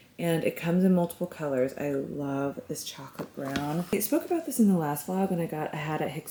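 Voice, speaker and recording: A woman's fairly quick speech with an American accent and ordinary pitch variation, over noticeable background noise. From United States. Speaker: lifestyle vlogger. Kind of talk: casual vlog haul. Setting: at home, bedroom. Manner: animated.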